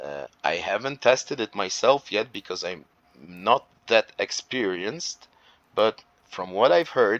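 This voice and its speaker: Lively intonation and big swings in loudness mark this fairly slow speech, recorded with a dry, close sound and no echo. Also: man, fairly low pitch for a man. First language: not English. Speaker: gaming youtuber. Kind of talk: gameplay tutorial. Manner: hesitant, many fillers.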